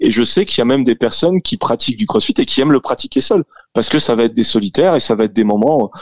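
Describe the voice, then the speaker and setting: A man talks at a very fast pace with ordinary pitch variation. The sound is dry and close with no echo, over a quiet background. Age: 30s. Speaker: CrossFit gym co-owner and fitness coach. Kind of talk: radio interview.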